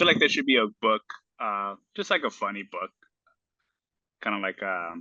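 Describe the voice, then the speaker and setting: A man in a Spanish accent speaks at a moderate pace, leaving long, frequent pauses. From United States, Spanish-speaking immigrant family. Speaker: small business owner, golf accessory maker. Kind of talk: casual chat.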